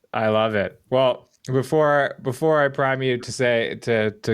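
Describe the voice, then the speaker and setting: In a plain, everyday voice, a man of medium pitch with a Canadian accent speaks with ordinary pitch variation on a very clean recording with a silent background. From Canada. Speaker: podcast host. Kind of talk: interview.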